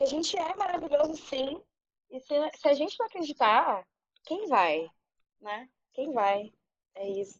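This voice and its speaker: At a fairly slow pace and with long, frequent pauses, a woman speaks in a high voice whose pitch swings very widely. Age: 30s. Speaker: podcast panelist, advertising graduate. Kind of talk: casual chat.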